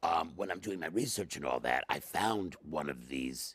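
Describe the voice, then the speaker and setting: A man's very deep, low voice with vocal fry, very wide pitch swings and a fairly quick pace. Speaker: interview guest. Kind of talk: interview answer. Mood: jovial, laughing. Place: studio.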